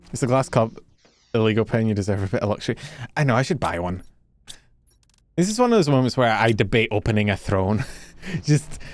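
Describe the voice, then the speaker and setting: Very fast and animated speech in a Scottish accent, with ordinary pitch variation. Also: man. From Scotland. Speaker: vtuber streamer. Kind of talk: casual gaming livestream chat.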